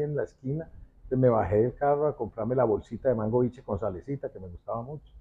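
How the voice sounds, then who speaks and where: A man with a medium pitch speaks using lively intonation. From Colombia, Manizales (paisa region). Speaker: actor. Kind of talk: interview.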